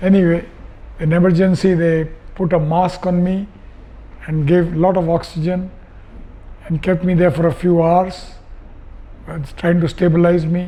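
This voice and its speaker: At a moderate pace, a man with a high pitch speaks in monotone, flat intonation, leaving long, frequent pauses. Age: 80s+. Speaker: patient, retired sea captain. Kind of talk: testimony. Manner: halting.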